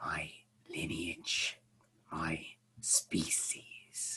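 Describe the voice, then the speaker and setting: A man whispers. He uses a put-on character voice. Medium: actual play. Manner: formal, measured, polite.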